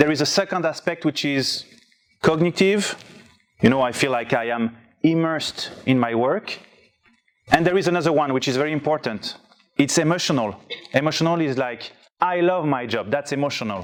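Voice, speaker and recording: A man speaks at a moderate pace with a strong French accent. His pitch is fairly high, and he takes long, frequent pauses. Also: ordinary pitch variation. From France. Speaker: conference speaker. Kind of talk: presentation talk. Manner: reading from notes.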